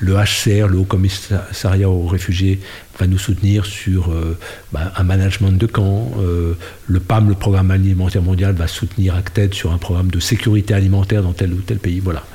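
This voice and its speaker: Over noticeable background noise, a man with a very deep, low pitch speaks in a flat monotone at a moderate pace, his loudness very even. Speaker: NGO director and former politician. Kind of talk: interview. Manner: hesitant with fillers.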